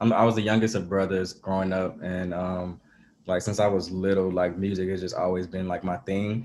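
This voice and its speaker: The speaker is a man with an Atlanta accent. His pitch sits fairly low. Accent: Southern US (Atlanta). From Atlanta, US South. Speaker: musician. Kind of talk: casual interview.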